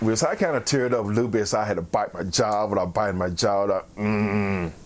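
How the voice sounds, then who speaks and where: Fairly low-pitched male voice with an American accent, fairly even intonation and a moderate pace, amid noticeable background noise. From US South, Memphis, Tennessee. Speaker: army veteran. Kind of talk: interview testimony.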